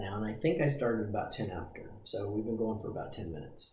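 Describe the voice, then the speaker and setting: A man talks in a relaxed tone, his voice somewhat breathy and fairly low. Audible room echo is present. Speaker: breathing coach. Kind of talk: tutorial. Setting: livestream.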